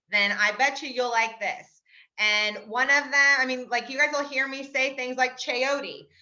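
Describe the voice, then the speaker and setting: A woman's raised, projected voice, high in pitch with a bright, sharp tone, ordinary pitch variation and a moderate pace. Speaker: health coach. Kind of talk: casual group video call. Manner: animated.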